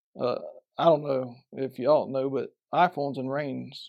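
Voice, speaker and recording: A man with a Southern US accent and a dark, mellow tone, in a very clean recording with a silent background. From Florida Panhandle, Bay County. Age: 40s. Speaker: professional fisherman. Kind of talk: podcast interview.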